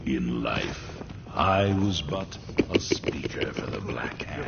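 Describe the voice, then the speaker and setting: The speaker uses a put-on character voice. Loud background noise runs underneath. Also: man, very deep, low pitch for a man, fairly slow pace. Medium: machinima. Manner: solemn, grave.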